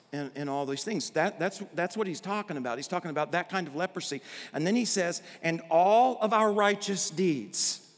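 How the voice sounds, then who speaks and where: Over noticeable background noise, a man with an American accent speaks at a moderate pace in a high pitch with lively intonation. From Arkansas, US South. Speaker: pastor. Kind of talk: sermon. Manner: animated.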